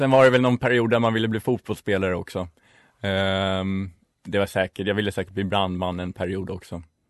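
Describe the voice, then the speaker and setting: This man has a normal speaking voice, fairly low in pitch. He talks at a fairly quick pace with fairly even intonation. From Stockholm, Sweden (inner city). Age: 20s. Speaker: student radio co-host. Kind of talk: casual radio chat.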